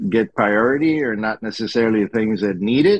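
A man with a normal speaking voice, pitched fairly low, and lively intonation. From Colombia, raised in US (South Florida). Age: 60s. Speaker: retired engineer and instructor. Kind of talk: interview.

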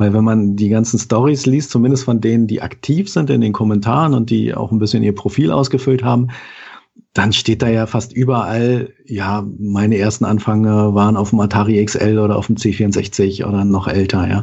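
With an unremarkable speaking voice, a man speaks at a moderate pace, his pitch fairly low and his loudness very even. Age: 40s. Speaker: IT worker and columnist. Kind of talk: casual chat. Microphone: good-sounding microphone.

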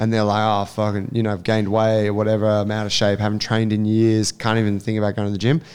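Monotone, flat intonation runs through this man's Australian accent. He speaks at a very fast pace with a fairly low pitch. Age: 30s. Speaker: podcast host and gym coach. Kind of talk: casual chat.

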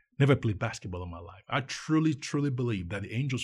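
With a Nigerian accent, the speaker talks at a very fast pace in an animated, somewhat breathy voice on a very clean recording with a silent background. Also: man. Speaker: nonprofit co-founder. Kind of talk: interview.

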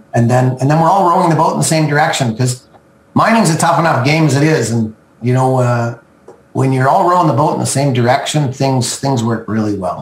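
With a Western Canadian accent, a man talks at a fairly quick pace and a medium pitch, his loudness very even. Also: ordinary pitch variation. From Canada (Okanagan, British Columbia). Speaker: mining company chairman. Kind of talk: business interview.

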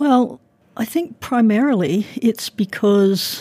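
A woman's somewhat breathy, fairly high voice with a dark, mellow tone and lively intonation, with an Australian accent, in a dry, close sound with no echo. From Brisbane, Australia. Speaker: university professor. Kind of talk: lecture-style interview.

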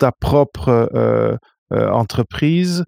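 On a very clean recording with a silent background, a man speaks with a dry, close sound and no echo. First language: Portuguese (speaking French). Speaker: podcast host. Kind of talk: interview. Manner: halting.

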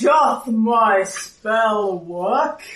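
Pitched fairly high, a female-sounding voice performs a put-on character voice. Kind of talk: archaic, old-fashioned.

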